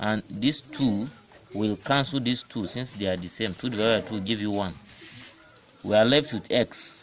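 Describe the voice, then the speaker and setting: With an African accent, a man speaks at a fairly low pitch, leaving long, frequent pauses. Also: ordinary pitch variation, moderate pace. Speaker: maths teacher. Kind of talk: maths lesson explanation.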